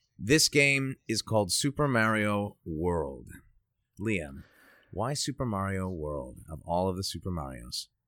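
A man with an American accent speaks fairly slowly at a fairly low pitch, with very wide pitch swings and a bright, sharp tone. The recording is very clean, with a silent background and a dry, close sound with no echo. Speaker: guest host, voice actor. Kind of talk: casual chat.

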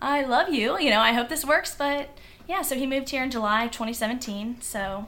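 A woman with an American accent speaks at a moderate pace in a high voice over noticeable background noise. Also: ordinary pitch variation. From Virginia Beach, Virginia. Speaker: dental hygienist and run club leader. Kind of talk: casual interview.

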